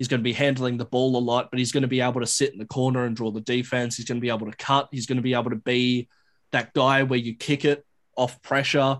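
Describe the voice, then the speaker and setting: Speaking in an Australian accent, a man talks very fast at medium pitch with monotone, flat intonation. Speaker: basketball reporter. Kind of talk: podcast interview.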